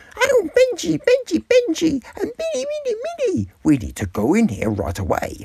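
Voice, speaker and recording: The speaker puts on a character voice. The pace is fairly slow. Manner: excited, as a dog narrating.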